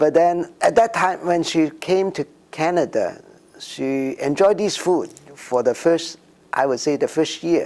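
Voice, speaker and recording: A man with a Cantonese accent speaks fairly slowly in a high pitch with ordinary pitch variation. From Hong Kong. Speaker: immigrant community member. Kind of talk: interview. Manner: halting, many fillers.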